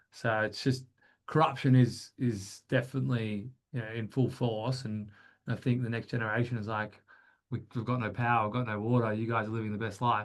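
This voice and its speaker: Speaking with an Australian accent, a man talks at a fairly quick pace, his medium-pitched voice keeping fairly even intonation. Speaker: business founder. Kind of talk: webinar interview. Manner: hesitant, many fillers.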